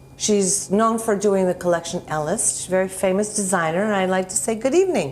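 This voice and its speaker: Medium in pitch with ordinary pitch variation, the woman has an unremarkable speaking voice. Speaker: talk show host. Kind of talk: TV interview. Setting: TV studio.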